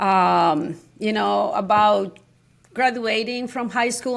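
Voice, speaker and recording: A strong Mexican accent in a very clean recording over a silent background. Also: woman. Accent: thick Mexican Spanish. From Mexico, San Luis Potosí. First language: Spanish. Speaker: high school Spanish teacher. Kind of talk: interview conversation. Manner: halting, many restarts.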